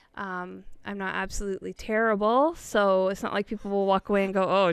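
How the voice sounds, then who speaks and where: A woman with a Canadian accent speaks in a normal speaking voice at a moderate pace and medium pitch, on a very clean recording with a silent background. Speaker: television producer. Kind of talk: casual interview chat.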